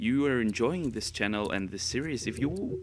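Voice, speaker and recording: A man is speaking. He has a slight non-native accent. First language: Spanish. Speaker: gaming youtuber. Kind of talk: casual chat. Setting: voice-over recording. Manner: halting.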